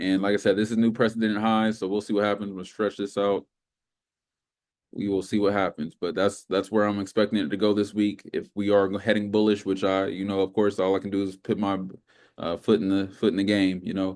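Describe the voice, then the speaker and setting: This man talks at a fairly quick pace. His pitch is fairly low, and his intonation is monotone and flat. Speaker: trading instructor. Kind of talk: tutorial. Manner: fast; casual.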